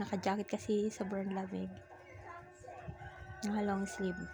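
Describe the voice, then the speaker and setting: Long, frequent pauses break up this woman's speech. Her pace is moderate. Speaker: vlogger. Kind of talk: vlog narration.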